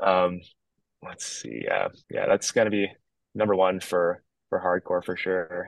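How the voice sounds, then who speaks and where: Recorded with a dry, close sound and no echo, a man talks at a fairly slow pace with long, frequent pauses. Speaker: hardcore band singer. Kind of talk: casual chat. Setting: outdoors in backyard, remote call.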